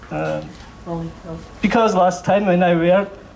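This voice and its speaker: Speech comes at a fairly slow pace with fairly even intonation. There is audible room echo and noticeable background noise. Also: man. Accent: Georgian. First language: Georgian. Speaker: novelist. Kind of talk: literary event talk. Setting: library stage with audience. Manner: halting.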